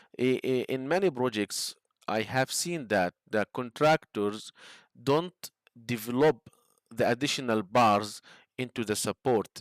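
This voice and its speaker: This man speaks at a fairly slow pace with ordinary pitch variation, recorded dry and close with no echo, very clean against a silent background. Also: medium pitch for a man. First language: not English. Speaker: structural engineering instructor. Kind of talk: tutorial. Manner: halting, many fillers.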